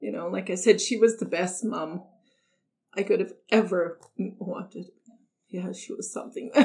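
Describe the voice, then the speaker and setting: A woman speaks at medium pitch in a somewhat breathy voice. Her loudness swings widely, and she takes long, frequent pauses. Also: ordinary pitch variation, moderate pace. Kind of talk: personal testimony.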